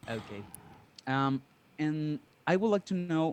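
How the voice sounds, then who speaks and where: Very slow delivery in a Spanish accent, with ordinary pitch variation against a quiet background. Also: man. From Mexico. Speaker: DJ and music producer, caller. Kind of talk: call-in question. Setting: Zoom call. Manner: halting.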